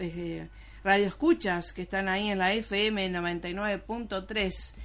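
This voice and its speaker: This is a woman with a normal speaking voice at a medium pitch. Her intonation is fairly even. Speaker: radio host and producer. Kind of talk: radio interview.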